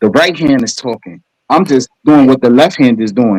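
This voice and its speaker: A Brooklyn accent with lively intonation and a dry, close sound with no echo. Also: man. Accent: Brooklyn New York. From New York, Brooklyn. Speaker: caller in live stream. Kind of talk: heated debate. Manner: comes off as aggressive.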